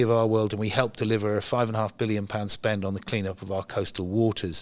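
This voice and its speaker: A man with an English accent talks in a fairly low pitch. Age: 60s. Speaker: environmental campaigner. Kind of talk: interview. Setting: event venue.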